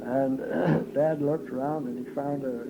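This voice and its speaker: Over noticeable background noise, a man with an American accent talks at a fairly slow pace and medium pitch, with ordinary pitch variation. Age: 80s+. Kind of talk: oral history interview. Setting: home tape recording.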